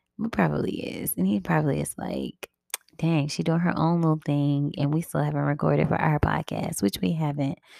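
A woman speaks quietly. Her pace is fairly quick. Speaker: podcast host. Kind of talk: casual monologue. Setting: at home.

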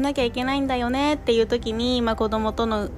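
Over music in the background, a woman talks at a fairly quick pace in a fairly high pitch. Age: 20s. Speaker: nursery teacher and podcast host. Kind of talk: solo podcast talk. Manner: hesitant, many fillers.

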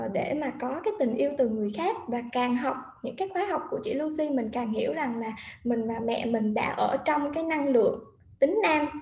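High-pitched and swinging very widely in pitch, a woman's voice carries audible room echo. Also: moderate pace. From Vietnam. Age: 30s. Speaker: guest sharing personal story. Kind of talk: livestream interview.

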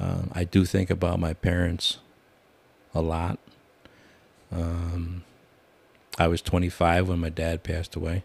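Speaking very slowly with long, frequent pauses, a man with an American accent uses a very deep, low pitch, a somewhat breathy sound and a flat, monotone delivery. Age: 60s. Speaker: retired prison worker. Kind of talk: casual chat.

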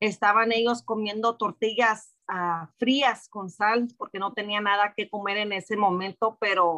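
In a dry, close sound with no echo, a woman at medium pitch speaks at a fairly slow pace with a bright, sharp tone and fairly even intonation. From Mexico (Jalisco), raised in US from age 6. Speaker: church member. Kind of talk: testimony.

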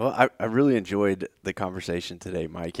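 A man talks at a fairly quick pace. The sound is dry and close with no echo, very clean, over a silent background. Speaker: podcast host. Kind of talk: casual interview.

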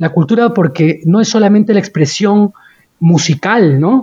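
Delivery is on the slow side. The pitch rises and falls in a typical manner. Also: man. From Peru. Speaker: human rights lawyer. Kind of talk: interview conversation.

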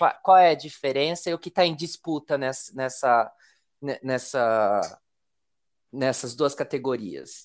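A man at a fairly slow pace, fairly high in pitch, with ordinary pitch variation and long, frequent pauses. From Brazil, Paraná river border with Mato Grosso do Sul. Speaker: podcast host. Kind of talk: interview.

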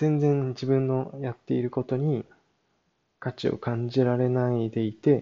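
In a monotone, flat delivery, a man of medium pitch speaks at a fairly slow pace. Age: 20s. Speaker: podcaster, yoga practitioner. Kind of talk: solo podcast monologue. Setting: old farmhouse. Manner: hesitant, many fillers.

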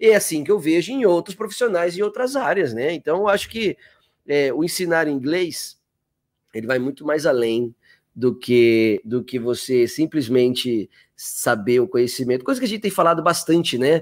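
Moving at a moderate pace, a man with a fairly high pitch makes very wide pitch swings. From Campinas and Sorocaba, São Paulo state, Brazil. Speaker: English teacher and podcast co-host. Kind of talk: casual chat. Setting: online live video call. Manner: animated.

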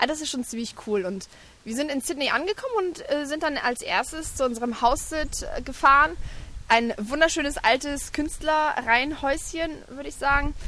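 Her voice high-pitched and projected, a woman speaks loudly with lively intonation. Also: moderate pace. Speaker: travelling mother and blogger. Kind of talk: casual interview. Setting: outdoors on a park bench at a playground.

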